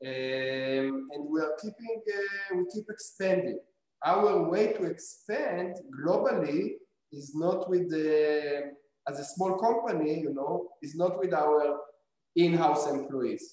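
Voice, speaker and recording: A man with an Israeli accent, a high pitch, ordinary pitch variation and a very slow pace. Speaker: robotics company founder. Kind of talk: interview. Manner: halting.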